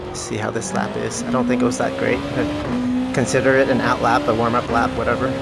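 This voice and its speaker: Over music in the background and audible room echo, a man with a very deep, low pitch talks at a fairly quick pace with very wide pitch swings and hardly any pauses. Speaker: gaming streamer. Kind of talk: gameplay commentary. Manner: loud; casual with fillers.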